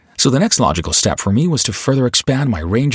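Noticeable background noise accompanies a man who talks at a very fast pace with very wide pitch swings. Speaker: voiceover artist. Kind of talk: voiceover demo, self-promotion. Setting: home studio booth. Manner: polished, friendly.

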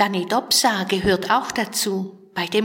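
Fairly even intonation carries this plain reading aloud.

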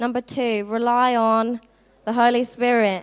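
A fairly high-pitched woman with a southern English accent on a very clean recording with a silent background. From southern England (Worthing, Sussex). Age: 20s. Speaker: youth outreach intern. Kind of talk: youth-camp preacher pep talk, rallying teens to go pray for healing.

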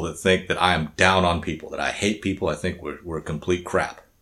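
A man talks at a very fast pace with an American accent, his pitch very deep and low and his intonation fairly even. The recording is very clean, with a silent background. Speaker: podcast host. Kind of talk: casual chat podcast banter. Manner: casual, joking.

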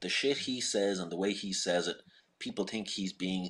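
A man speaks with an Irish accent and fairly even intonation. The background is quiet. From Ireland.

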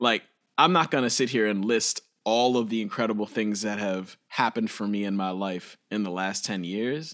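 Here a man with a normal speaking voice talks at a moderate pace, fairly low in pitch with ordinary variation. The recording is very clean, with a silent background. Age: 30s. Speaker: musician and educator. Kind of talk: casual chat.

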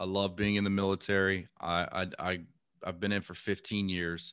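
A man with an American accent, very deep and low in pitch, bright and sharp in tone, at a moderate pace with fairly even intonation, on a very clean recording with a silent background. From US South, Lake Charles, Louisiana. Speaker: real estate investor and navy serviceman. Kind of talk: podcast interview.

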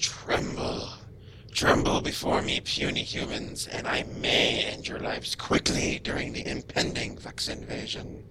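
Loud background noise runs under a raspy, put-on character voice speaking at a moderate pace. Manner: mock-menacing, theatrical.

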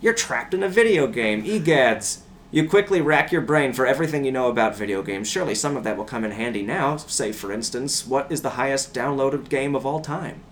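Background noise is noticeable as a man talks at a fairly quick pace. His intonation is lively and he hardly pauses. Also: medium pitch for a man. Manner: animated, theatrical, playful, switching into a motherly voice and mock-ominous tone.

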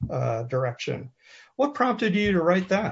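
A man with an American accent talks in a somewhat breathy voice. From US, military family, various states. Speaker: interviewer and former scuba diver. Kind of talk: interview.

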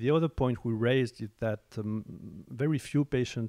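A man with a French accent, a dark, mellow tone and a moderate pace, in a very clean recording with a silent background and a dry, close sound with no echo. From France. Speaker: oncologist. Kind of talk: interview. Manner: halting.

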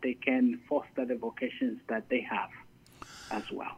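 At a fairly slow pace, a man talks at medium pitch with monotone, flat intonation. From Zambia. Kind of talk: interview. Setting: phone call. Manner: halting, many fillers. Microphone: telephone line.

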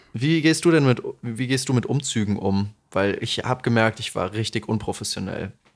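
A man's medium-pitched voice, an unremarkable speaking voice, with ordinary pitch variation and a moderate pace. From Lower Franconia, Bavaria (Aschaffenburg area). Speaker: podcast co-host. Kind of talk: casual chat.

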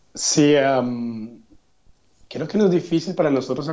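A man with an ordinary speaking voice and fairly high pitch talks at a fairly slow pace. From Colombia, Yopal, Casanare (llanos region). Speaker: graduate student. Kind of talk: interview.

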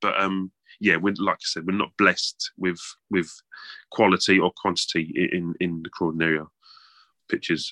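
A man speaks low at a moderate pace, with little pitch movement. His tone is bright and sharp, in a dry, close sound with no echo.

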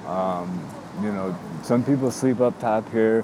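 A man's voice against noticeable background noise. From Chicago suburbs. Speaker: homeless man. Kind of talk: personal testimony interview. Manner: halting, many fillers.

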